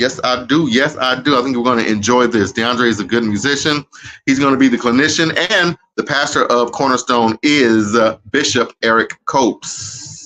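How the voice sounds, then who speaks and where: Moderate pace from a man at a medium pitch, with music in the background. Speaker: live-stream host. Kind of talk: casual live-stream chat. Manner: animated.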